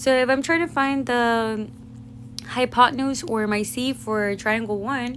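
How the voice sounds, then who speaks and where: Noticeable background noise sits behind a woman with a high pitch. She talks at a fairly slow pace, and her intonation is fairly even. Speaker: math teacher. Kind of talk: tutorial.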